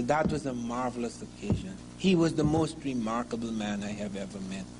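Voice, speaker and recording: In a room with audible echo and noticeable background noise, a man with a Guyanese accent talks at a fairly quick pace. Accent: Guyanese Caribbean English. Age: 60s. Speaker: historian. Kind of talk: lecture.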